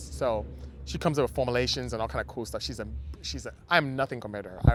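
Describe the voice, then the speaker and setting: The speaker talks at a very fast pace in a Nigerian accent. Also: man. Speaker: automotive engineer and business owner. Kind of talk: podcast interview. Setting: outdoors in a parking lot.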